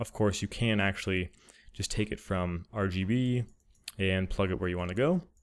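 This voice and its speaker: Quiet and fairly low-pitched, a man speaks at a moderate pace with fairly even intonation on a very clean recording with a silent background. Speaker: 3D artist and tutorial creator. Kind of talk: software tutorial narration.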